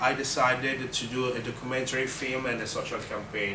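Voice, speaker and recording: Fairly quick speech from a man, with audible room echo and noticeable noise in the background. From Italy. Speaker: documentary filmmaker and activist. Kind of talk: talk introducing a film screening. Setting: university lecture room. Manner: hesitant, many fillers.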